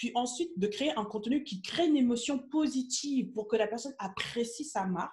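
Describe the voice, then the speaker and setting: An animated woman with a fairly high pitch and lively intonation speaks with hardly any pauses. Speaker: business coach. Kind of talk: live stream Q&A coaching. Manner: fast.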